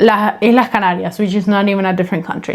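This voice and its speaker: A woman with a Spanish accent, medium pitch and fairly even intonation, over noticeable background noise. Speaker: podcast co-host. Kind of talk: casual chat. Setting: home recording.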